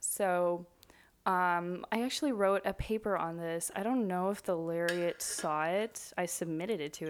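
In a normal speaking voice, a woman with a fairly low pitch talks at a moderate pace with ordinary pitch variation. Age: 20s. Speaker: student. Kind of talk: casual chat.

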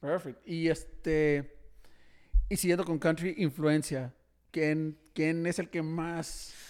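A man speaks very slowly in a fairly high pitch with monotone, flat intonation, on a very clean recording with a silent background. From Mexico, Tijuana. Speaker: podcast host. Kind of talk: casual chat. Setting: studio.

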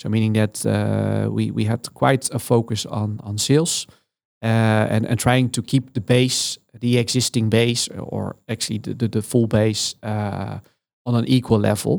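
A man with a Dutch accent speaks at a fairly slow pace. The recording is very clean, with a silent background. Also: fairly low pitch for a man, fairly even intonation. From Netherlands, south. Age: 40s. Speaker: head of data and digital at a food company. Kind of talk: interview. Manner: halting, many fillers.

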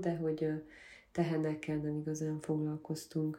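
At a fairly slow pace, a woman speaks in a very deep, low pitch with a dark, mellow tone. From Transylvania, Székely Land (Gyergyó region). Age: 20s. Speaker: photographer from a farming family. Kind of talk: interview.

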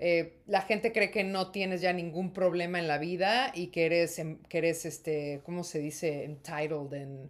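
On a very clean recording with a silent background, a woman with a plain, everyday voice speaks at a fairly slow pace and a fairly low pitch, with ordinary pitch variation and hardly any pauses. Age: 30s. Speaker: actress and podcast co-host. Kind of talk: casual chat.

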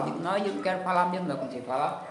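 A man talks in a high voice. Noticeable background noise and audible room echo surround him. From Ceará, Brazil (Limoeiro do Norte). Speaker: folk tradition master. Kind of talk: interview. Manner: halting.

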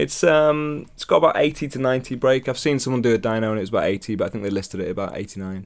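Very fast pace from a man at medium pitch, with hardly any pauses. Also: lively intonation. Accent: British. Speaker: podcast host. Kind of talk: casual chat.

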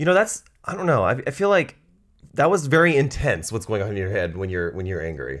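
Vocal fry and very wide pitch swings come through in a very clean recording with a silent background. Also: man, medium pitch for a man. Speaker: guest. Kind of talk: casual chat.

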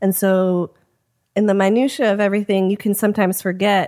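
With an American accent, a woman talks at a moderate pace and medium pitch in a dark, mellow tone on a very clean recording with a silent background. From US Midwest, Chicago. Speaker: screenwriter. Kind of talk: casual interview.

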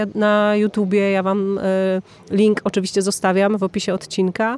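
In an unremarkable speaking voice, a woman with a fairly high pitch talks at a moderate pace, the sound dry and close with no echo on a very clean recording with a silent background. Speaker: podcast host and festival presenter. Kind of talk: interview with translation. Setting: at a music festival.

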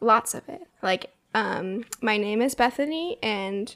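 A woman's fairly high voice, an ordinary speaking voice, with ordinary pitch variation. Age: 20s. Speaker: podcast co-host, admin assistant. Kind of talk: casual chat.

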